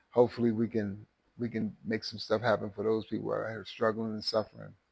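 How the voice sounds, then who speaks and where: A man with a medium pitch talks at a fairly quick pace with vocal fry. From Missouri. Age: 60s. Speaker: high school football coach. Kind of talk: interview. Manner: animated.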